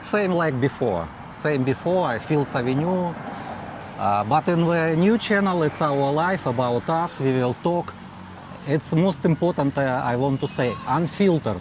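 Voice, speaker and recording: Over noticeable background noise, a man speaks at a fairly slow pace with a fairly high pitch, lively intonation and very even loudness. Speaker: vlogger. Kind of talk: casual chat. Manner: halting, broken English with fillers.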